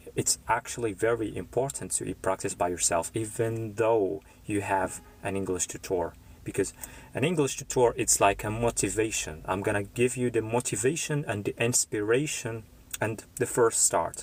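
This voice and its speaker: A man speaks at a medium pitch and a moderate pace, with ordinary pitch variation. His voice is somewhat breathy. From Morocco, Casablanca. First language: Moroccan Arabic (Darija). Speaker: English tutor. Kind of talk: live stream talk to viewers. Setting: live stream.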